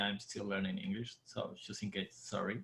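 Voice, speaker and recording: A man speaks with an Argentine accent at a moderate pace. His voice is somewhat breathy. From Argentina. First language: Spanish. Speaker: dancer and bartender. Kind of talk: casual chat.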